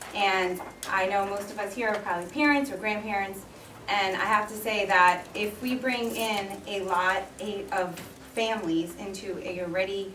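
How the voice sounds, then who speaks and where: A woman with a New York accent, fairly even intonation, a moderate pace, audible room echo and noticeable background noise. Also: medium pitch for a woman. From New York City (Queens and the Bronx). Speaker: resident, former teacher. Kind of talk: public comment at town meeting. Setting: public hearing.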